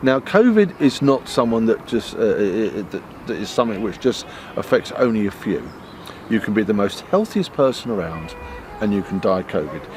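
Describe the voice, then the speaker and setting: At a moderate pace, a man talks against noticeable background noise. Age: 60s. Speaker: trade union representative. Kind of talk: interview. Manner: halting.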